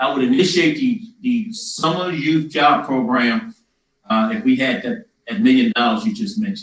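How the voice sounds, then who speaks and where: A man with a Louisiana accent speaks at a high pitch, and his pitch swings very widely. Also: moderate pace. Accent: Louisiana Southern. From Louisiana, Donaldsonville. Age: 60s. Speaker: mayoral candidate. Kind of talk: town hall answers.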